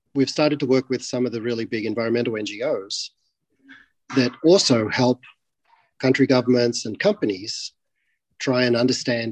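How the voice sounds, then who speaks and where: A man speaks at a moderate pace with an Australian accent, his medium pitch carrying ordinary pitch variation. The sound is dry and close, with no echo. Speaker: tech company CEO. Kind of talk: interview.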